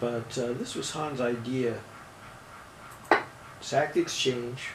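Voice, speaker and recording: Amid noticeable background noise and audible room echo, a man speaks with fairly even intonation and long, frequent pauses. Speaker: chess commentator and coach. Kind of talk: chess game analysis commentary.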